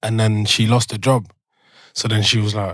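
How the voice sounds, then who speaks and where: A man with a London accent, monotone and flat, at a moderate pace. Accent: London multicultural English. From Belgium, Brussels, moved to London at eleven. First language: French. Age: 20s. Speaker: rap artist. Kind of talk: podcast interview. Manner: casual, halting with many fillers.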